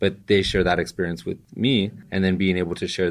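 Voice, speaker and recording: A man with an American accent speaks at a fairly quick pace in a very deep, low voice against a quiet background. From Southern California (East LA). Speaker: tech marketing professional and DJ. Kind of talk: casual interview. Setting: office with city view.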